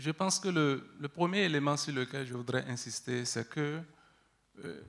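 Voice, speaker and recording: At a moderate pace, a man speaks in a normal speaking voice with a medium pitch and ordinary pitch variation, in a very clean recording with a silent background. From Benin. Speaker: researcher. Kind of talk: panel discussion.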